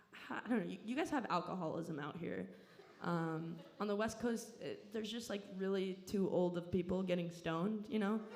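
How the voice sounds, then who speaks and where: With an American accent, a woman speaks at a moderate pace and medium pitch with ordinary pitch variation, amid audible room echo and noticeable background noise. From Southern California. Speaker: comedian. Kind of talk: stand-up. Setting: stage with audience.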